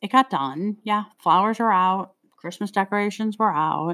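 A woman with an ordinary speaking voice and ordinary pitch variation, in a very clean recording with a silent background. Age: 50s. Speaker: podcast co-host. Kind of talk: casual chat.

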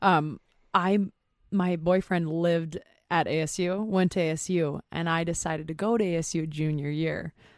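Heard on a very clean recording with a silent background, a normal speaking voice with an American accent moves at a moderate pace with fairly even intonation. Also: woman, fairly low pitch for a woman. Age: 20s. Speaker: digital marketer. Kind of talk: casual chat. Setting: studio.

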